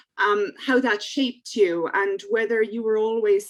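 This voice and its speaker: Speaking fairly slowly, a woman with an Irish accent keeps a medium pitch and fairly even intonation. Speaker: podcast host. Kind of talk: interview.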